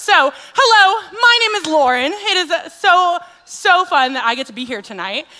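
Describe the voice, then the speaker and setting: Very wide pitch swings in a woman's raised, projected voice over noticeable background noise. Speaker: children's ministry staff, special speaker. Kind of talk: addressing children at a church worship night. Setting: church kids' event, on mic, camera. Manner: animated, enthusiastic; loud.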